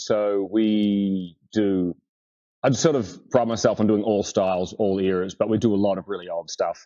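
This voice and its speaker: A dark, mellow tone with an Australian accent over a quiet background. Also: man. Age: 30s. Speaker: furniture restorer. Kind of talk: casual chat. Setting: podcast interview.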